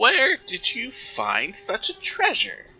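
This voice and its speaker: A man puts on a croaky character voice and talks at a very slow pace. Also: high pitch for a man. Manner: greedy, gloating.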